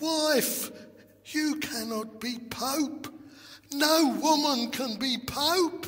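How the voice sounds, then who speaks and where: A man uses a put-on character voice at a very slow pace. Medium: read story. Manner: timid, hesitant.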